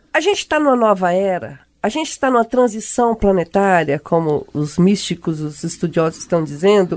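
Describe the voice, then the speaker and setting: Her pitch swinging very widely, a woman speaks at a moderate pace on a very clean recording with a silent background. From Brazilian countryside. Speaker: radio host, journalist. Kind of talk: radio talk show.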